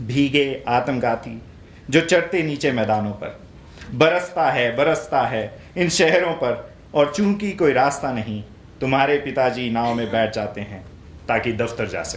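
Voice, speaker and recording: Very slowly, a man at a medium pitch talks with lively intonation. Room echo is audible. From northern India, Himachal Pradesh. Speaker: poet. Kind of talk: poetry reading.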